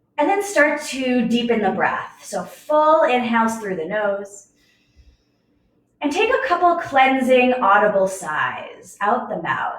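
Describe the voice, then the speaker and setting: Loud and very slow, a woman speaks at a high pitch with very wide pitch swings, and the room echo is audible. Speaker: yoga teacher. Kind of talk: guided yoga class.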